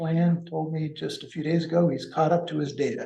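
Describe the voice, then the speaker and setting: A man's fairly high, somewhat breathy voice. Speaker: financial consultant. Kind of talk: business presentation. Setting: public meeting in city hall, also on Zoom. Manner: halting.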